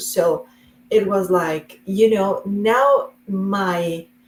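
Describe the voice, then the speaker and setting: A woman speaks at a medium pitch. She has a Spanish accent. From Colombia. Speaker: real estate investor. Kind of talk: interview.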